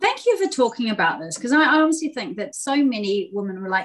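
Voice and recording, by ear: A woman at a fairly high pitch, talking fast with big pitch swings.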